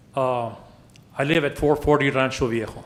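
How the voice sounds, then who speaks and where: With an American accent, a man talks at a moderate pace in a medium pitch and fairly even intonation, with audible room echo. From El Paso area, Texas (Isleta). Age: 70s. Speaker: public commenter, resident. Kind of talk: public comment at council meeting. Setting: city council meeting.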